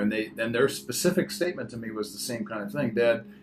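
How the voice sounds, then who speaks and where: There is music in the background as a man speaks. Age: 60s. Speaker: radio host. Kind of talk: casual chat; radio show intro.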